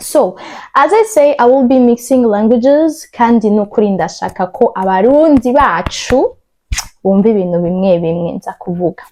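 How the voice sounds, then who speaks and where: Her tone dark and mellow, a woman speaks at a fairly high pitch with lively intonation and a moderate pace. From Burundi. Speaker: YouTuber. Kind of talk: testimony. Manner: code-switching English, Kirundi and French.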